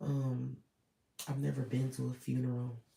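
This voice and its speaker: A man speaks at a very slow pace. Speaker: vlogger. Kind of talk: personal vlog monologue. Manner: hesitant, filler-heavy.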